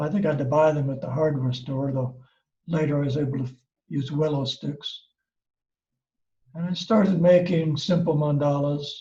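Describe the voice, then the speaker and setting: This voice has an American accent and a dark, mellow, somewhat breathy tone. The intonation stays fairly even. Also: man. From US Midwest, Ohio. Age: 70s. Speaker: craft teacher and seller. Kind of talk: personal storytelling. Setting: video call. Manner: relaxed, with fillers.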